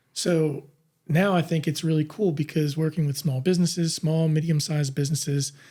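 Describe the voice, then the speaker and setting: A man talks at a fairly quick pace in a dark, mellow tone with fairly even intonation. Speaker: podcast host. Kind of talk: interview conversation. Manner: frequent filler words, hesitant.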